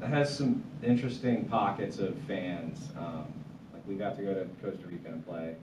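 A man talks at a moderate speed while noticeable background noise runs underneath. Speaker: guest. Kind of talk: interview answer. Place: studio.

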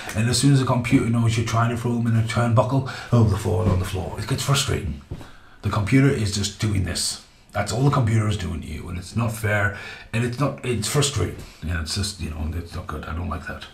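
An animated man talks at a fairly quick pace in a fairly low pitch with ordinary pitch variation, with light background noise and audible room echo. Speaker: video game reviewer. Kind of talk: angry rant; casual rambling video review. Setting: home video recording. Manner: animated, swearing, exasperated; rambling, halting. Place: home room.

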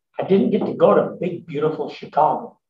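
A man's lively, expressive voice with audible room echo and light background noise. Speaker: emeritus professor and social entrepreneur. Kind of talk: interview answers at a symposium. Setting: stage with audience. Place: meeting room. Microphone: podium.

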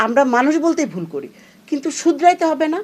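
This woman speaks with lively intonation. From Bangladesh. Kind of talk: opinion commentary. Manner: animated.

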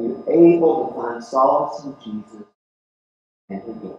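A man's fairly high voice at a fairly slow pace, with strong room echo. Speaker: preacher. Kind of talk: sermon delivered to a congregation. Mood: earnest, questioning. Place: church.

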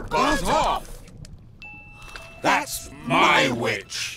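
A man puts on a character voice. It is shrill, croaky and growling. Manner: fierce, shouting.

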